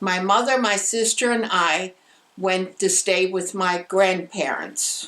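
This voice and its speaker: There is noticeable background noise behind the speaker. She is a woman with a medium pitch. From Germany, Berlin. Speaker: war survivor. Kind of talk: interview testimony.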